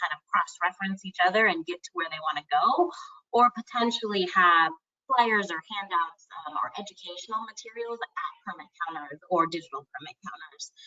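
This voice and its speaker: A woman at medium pitch and a moderate pace. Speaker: campaign project manager. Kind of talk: webinar Q&A. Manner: loud.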